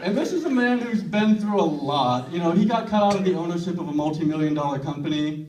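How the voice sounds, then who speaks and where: A high-pitched man with lively intonation, in audible room echo. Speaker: stand-up comedian. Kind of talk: stand-up. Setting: stage with audience.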